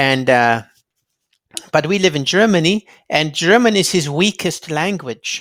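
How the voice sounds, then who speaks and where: A man at a fairly slow pace with long, frequent pauses. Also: fairly high pitch for a man. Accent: American. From California, US. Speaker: youtuber interviewing authors. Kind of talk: interview. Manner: halting.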